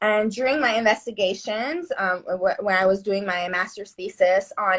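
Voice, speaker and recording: A woman's bright, sharp voice at a medium pitch, delivered at a moderate pace. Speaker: neuroscientist and movement coach. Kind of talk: casual chat.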